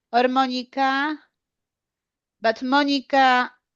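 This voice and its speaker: A woman's high voice with fairly even intonation over a quiet background. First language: Polish. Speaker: English learner, clinical trials worker. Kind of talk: language lesson. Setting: video call. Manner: halting.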